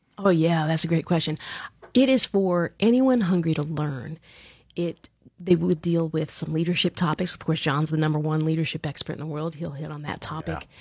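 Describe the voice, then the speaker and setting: A woman with an American accent speaks at a moderate pace in a very deep, low voice, somewhat breathy, with ordinary pitch variation and big swings in loudness. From Long Island, New York, then Central Florida from age 12. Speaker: leadership coach and event organizer. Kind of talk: podcast interview.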